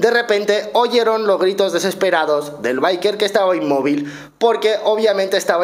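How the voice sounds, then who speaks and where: A man with a Spanish accent speaks in an animated tone at a high pitch. His pitch variation is ordinary. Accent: Spain Spanish. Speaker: motorcycle vlogger. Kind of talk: storytelling to camera. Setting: recorded at home. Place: home room. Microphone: studio mic.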